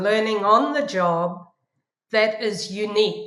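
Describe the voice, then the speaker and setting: A woman uses a normal speaking voice, fairly high in pitch with ordinary pitch variation. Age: 60s. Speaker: professor. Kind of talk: interview.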